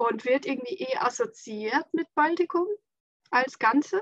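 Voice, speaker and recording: Woman with an Estonian accent, lively intonation and moderate pace, in a dry, close sound with no echo. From Estonia, near Latvian border. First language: Estonian (speaking German). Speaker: school head and designer. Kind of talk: casual chat.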